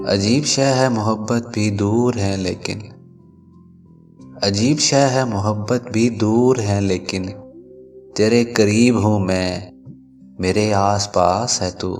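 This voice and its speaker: The intonation stays fairly even while music plays in the background. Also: man, fairly low pitch for a man. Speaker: radio jockey, poetry narrator. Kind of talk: poetry reading.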